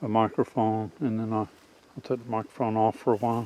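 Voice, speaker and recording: A soft-spoken man talks at a moderate pace in a medium pitch. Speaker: outdoors tracking hobbyist. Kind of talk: outdoor tutorial vlog. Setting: outdoors in woods. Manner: soft-spoken, quiet; halting with fillers.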